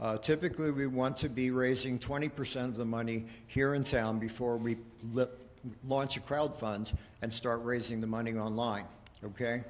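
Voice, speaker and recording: This man uses a plain, everyday voice pitched at a medium level. He keeps a moderate tempo, and his intonation stays fairly even. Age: 60s. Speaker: business consultant. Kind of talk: pitch presentation.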